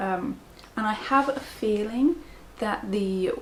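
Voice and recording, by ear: Soft-spoken and medium in pitch, a woman speaks with lively intonation.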